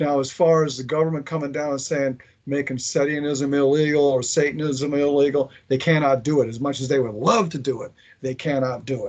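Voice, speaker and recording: Speaking fairly quickly with fairly even intonation, a man uses a fairly high pitch in a plain, everyday voice. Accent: American. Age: 60s. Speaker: former occult order member, veteran. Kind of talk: interview.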